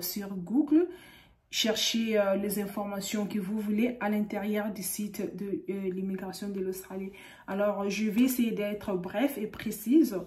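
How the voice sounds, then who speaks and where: A woman with a fairly high voice and ordinary pitch variation speaks at a very slow pace. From DR Congo. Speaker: YouTuber giving visa advice. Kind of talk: tutorial. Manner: halting, frequent hesitations. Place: home room. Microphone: studio mic.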